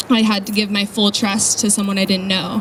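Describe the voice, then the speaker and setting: A woman with an American accent talks at a fairly high pitch over noticeable background noise. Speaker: charity volunteer. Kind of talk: presentation to an audience. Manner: soft-spoken. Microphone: too quiet, told to hold mic closer.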